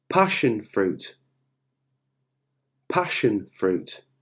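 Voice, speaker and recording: The speaker has a British accent and vocal fry. Their pitch swings very widely. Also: man. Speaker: English teacher. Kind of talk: vocabulary word list for learners. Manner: slow, clear.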